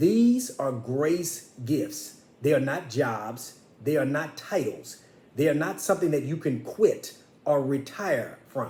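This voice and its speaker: A man talks at a very slow pace with a dark, mellow, somewhat breathy tone and very wide pitch swings. Room echo is audible. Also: fairly high pitch for a man. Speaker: minister. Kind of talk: sermon. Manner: pitch rises when passionate; impassioned.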